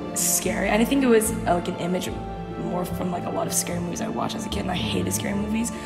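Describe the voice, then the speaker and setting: A woman's voice is heard with loud music playing behind it. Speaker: co-host. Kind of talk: casual storytelling. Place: hall. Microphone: camera far.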